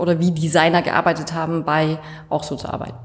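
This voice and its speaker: Her pitch very deep and low, a woman talks at a moderate pace. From Franconia, Bavaria. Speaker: coworking space member. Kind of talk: casual interview.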